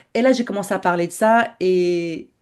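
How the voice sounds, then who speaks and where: The voice has a dark, mellow, somewhat breathy tone and lively intonation. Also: woman. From Morocco. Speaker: entrepreneur and business mentor. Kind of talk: podcast interview. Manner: halting, with frequent repetitions.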